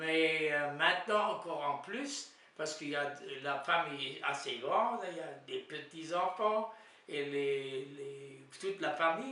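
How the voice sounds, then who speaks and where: A man speaks very slowly at a fairly high pitch, with ordinary pitch variation. The recording has audible room echo and noticeable background noise. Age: 90s. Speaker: elderly widower. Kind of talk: interview. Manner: halting.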